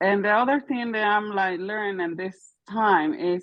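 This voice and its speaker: A woman's medium-pitched voice with a non-native accent, ordinary pitch variation and a fairly slow pace. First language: not English. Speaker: caller sharing a testimony. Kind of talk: testimony. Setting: call-in while driving. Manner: halting.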